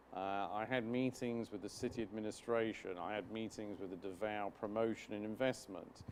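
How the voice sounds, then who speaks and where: Speaking at a moderate pace with a British accent, a man uses a fairly low pitch and fairly even intonation. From UK. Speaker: business chamber chairman. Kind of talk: interview. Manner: formal.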